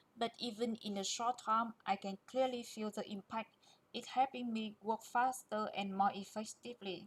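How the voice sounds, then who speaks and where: Somewhat breathy, a woman with a non-native accent speaks at a fairly high pitch and a moderate pace in a monotone, flat intonation. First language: not English. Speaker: QA engineer presenter. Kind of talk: presentation.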